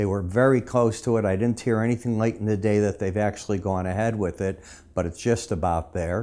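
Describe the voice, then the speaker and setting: The voice has a dark, mellow tone and ordinary pitch variation. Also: man. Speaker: market analyst. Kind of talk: market commentary. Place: studio.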